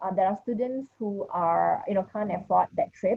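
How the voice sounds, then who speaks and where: Somewhat breathy, a woman speaks at a fairly high pitch and a moderate pace. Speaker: education ministry official. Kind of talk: panel discussion. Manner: hesitant, many fillers.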